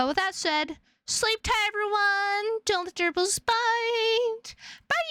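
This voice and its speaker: The voice is raised and projected at a very slow pace. The sound is dry and close with no echo. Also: woman, extremely high pitch for a woman. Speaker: vtuber streamer. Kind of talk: casual stream sign-off. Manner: flat, unamused-sounding.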